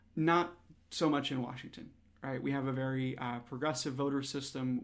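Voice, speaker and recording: In an American accent, a man speaks fairly quickly at a medium pitch, his intonation fairly even. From Wisconsin and Pacific Northwest. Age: 20s. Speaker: political candidate. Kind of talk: interview. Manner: hesitant, with fillers.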